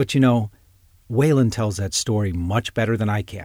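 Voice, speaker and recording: A man talks at a moderate pace in a fairly low, somewhat breathy voice. The recording is very clean, with a silent background. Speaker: podcast host. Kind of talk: interview, podcast host.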